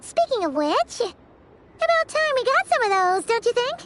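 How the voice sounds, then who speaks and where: A squeaky, put-on character voice at an extremely high pitch, moving at a moderate pace. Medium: video game. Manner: chatty, excitable.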